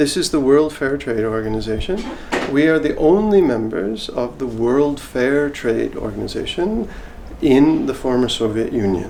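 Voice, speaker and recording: Speech at a moderate pace comes with audible room echo and noticeable background noise. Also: man, medium pitch for a man. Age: 60s. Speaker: fair trade foundation director. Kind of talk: interview.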